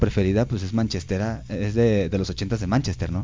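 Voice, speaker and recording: Using vocal fry, a man talks at a very fast pace with a fairly low pitch and ordinary pitch variation. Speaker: radio host. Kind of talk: casual chat. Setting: studio.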